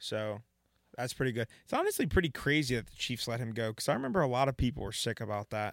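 In a very clean recording with a silent background and a dry, close sound with no echo, a man talks very fast with big swings in loudness. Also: medium pitch for a man, ordinary pitch variation. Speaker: podcast co-host. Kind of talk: heated debate; casual chat. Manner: angry, emphatic ranting, loud and insistent.

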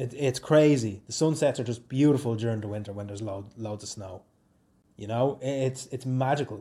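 Speaking at a fairly quick pace, a man has a dark, mellow, somewhat breathy voice at a medium pitch with ordinary pitch variation. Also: big swings in loudness. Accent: Dublin. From Ireland, Swords, County Dublin. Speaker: podcaster and YouTuber. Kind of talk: casual solo chat. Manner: animated, laughing often.

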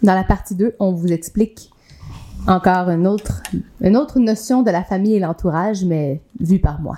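A woman with a Quebec accent speaks in a medium pitch and a dark, mellow tone, leaving long, frequent pauses. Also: ordinary pitch variation, moderate pace. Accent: Québécois French. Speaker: podcast co-host, yoga instructor. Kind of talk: casual chat.

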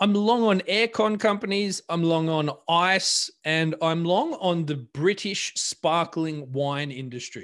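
The voice moves at a very slow pace with hardly any pauses. The background is quiet. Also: man, high pitch for a man, ordinary pitch variation. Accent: Australian. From Australia. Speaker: podcast co-host. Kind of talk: casual chat.

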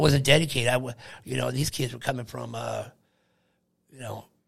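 With an American accent, a man speaks at a medium pitch with vocal fry. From Oregon, then Long Beach, California. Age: 50s. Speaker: podcast host's father, union laborer. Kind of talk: casual chat. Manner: halting, many fillers.

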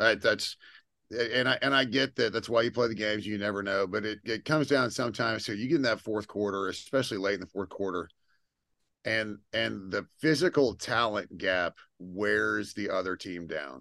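A man speaks at fairly low pitch with a bright, sharp tone and vocal fry, his pitch varying in an ordinary way. His pace is moderate, and the background is quiet. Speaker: podcast host. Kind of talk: casual chat.

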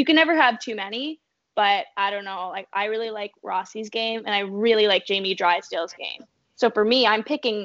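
A woman with an ordinary speaking voice and a Canadian accent, fairly high in pitch with ordinary pitch variation, at a moderate pace, with big swings in loudness. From southwestern Ontario, Canada. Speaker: sports journalist. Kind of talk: casual chat.

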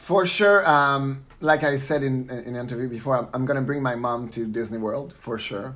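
Noticeable background noise sits behind this recording. A man talks at a medium pitch with a Quebec accent. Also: ordinary pitch variation, moderate pace, hardly any pauses. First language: French. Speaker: drag queen, competition winner. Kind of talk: interview.

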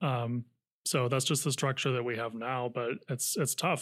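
A man with a medium-pitched voice speaks at a fairly quick pace in an unremarkable speaking voice, his intonation fairly even, on a very clean recording with a silent background. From Napa County, Northern California. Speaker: housing advocacy nonprofit director. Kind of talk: casual interview.

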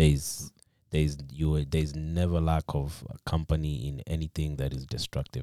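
In a very clean recording with a silent background, a man speaks at a very deep, low pitch in a dark, mellow tone with fairly even intonation. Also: moderate pace, dry, close sound with no echo. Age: 30s. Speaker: person in recovery from substance abuse. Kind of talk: personal testimony. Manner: halting.

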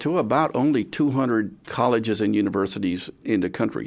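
A man with an American accent and an ordinary speaking voice, medium pitch and lively intonation, on a very clean recording with a silent background. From San Antonio, Texas. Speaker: retired judge and lawyer. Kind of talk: radio interview. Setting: radio studio.

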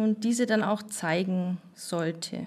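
A woman's voice comes through somewhat breathy, with a dark, mellow tone. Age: 30s. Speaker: nurse. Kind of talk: interview.

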